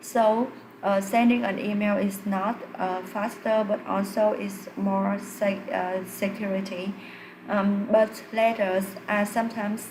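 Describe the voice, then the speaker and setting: A woman with a non-native accent speaks at a fairly slow pace in a medium-pitched voice with monotone, flat intonation, amid noticeable background noise and audible room echo. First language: not English. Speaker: English learner doing test practice. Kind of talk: spoken exam practice answer. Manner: halting, many fillers.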